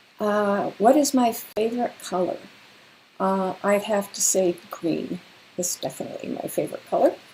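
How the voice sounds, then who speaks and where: With a Canadian accent, a woman speaks in a normal speaking voice at medium pitch, with ordinary pitch variation and a moderate pace. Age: 60s. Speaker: children's author and retired teacher. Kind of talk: livestream Q&A for children. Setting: livestream. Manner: friendly, conversational with fillers.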